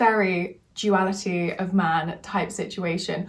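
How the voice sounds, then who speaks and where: This woman's voice sits at a medium pitch and is somewhat breathy. Her intonation stays fairly even. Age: 20s. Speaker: vlogger. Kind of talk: casual vlog talk. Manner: fast.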